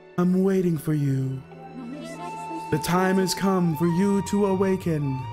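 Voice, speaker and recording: Clear music plays behind a man doing a put-on character voice. He speaks fairly slowly at a high pitch. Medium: dub.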